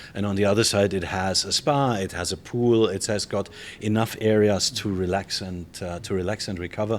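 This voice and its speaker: A man talks in a German accent at a moderate pace. His fairly low pitch shows ordinary variation. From Germany. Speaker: hotel general manager. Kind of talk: interview. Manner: casual, with frequent fillers.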